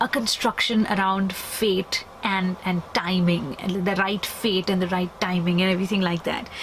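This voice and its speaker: The woman takes a fairly slow pace while background noise stays noticeable. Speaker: book vlogger. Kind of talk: vlog and book review. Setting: capsule hotel pod. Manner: whispering; hesitant, many fillers.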